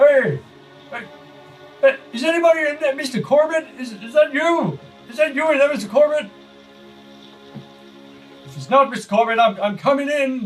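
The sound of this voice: In a put-on character voice, a man speaks at an extremely high, croaky pitch and a moderate pace. Clear music plays in the background.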